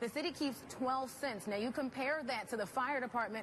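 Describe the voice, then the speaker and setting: A woman with an American accent speaks in a high voice. Noticeable background noise runs underneath. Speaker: TV news reporter and anchor. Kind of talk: TV news anchor read.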